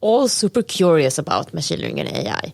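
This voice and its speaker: A woman with a Swedish accent talks at a moderate pace in a fairly low voice. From Sweden. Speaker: data scientist. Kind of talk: casual chat. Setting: inside a planetarium.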